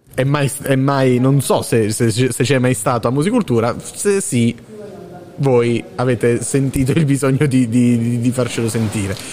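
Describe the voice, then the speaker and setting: At a fairly slow pace and with very even loudness, a man speaks over noticeable background noise. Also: medium pitch for a man, ordinary pitch variation. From Basilicata. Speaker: student radio host. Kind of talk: live commentary. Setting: theatre ticket office, live broadcast. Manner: animated.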